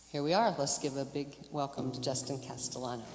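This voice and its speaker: A woman's very deep, low voice with an American accent at a moderate pace, with noticeable background noise and audible room echo. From western North Carolina, Hickory area. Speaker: emcee at a church concert. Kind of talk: stage introduction. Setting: stage with audience. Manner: halting, with self-corrections.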